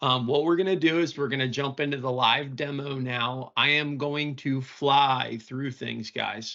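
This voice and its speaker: A plain, everyday voice at a fairly slow pace, with fairly even intonation and hardly any pauses. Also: man, fairly high pitch for a man. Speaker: IT consultant and webinar presenter. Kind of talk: webinar live demo.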